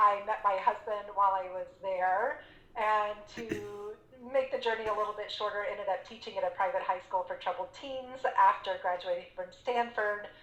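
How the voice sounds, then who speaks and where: A woman with a medium pitch and ordinary pitch variation talks at a moderate pace while noticeable background noise carries on. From Texas, San Antonio. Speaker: business coach and entrepreneur. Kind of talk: interview.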